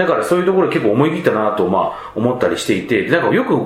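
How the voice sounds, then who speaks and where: Amid audible room echo and noticeable background noise, a man talks at a very fast pace. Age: 20s. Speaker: podcast host. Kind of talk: casual chat. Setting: rented meeting room in Ikebukuro.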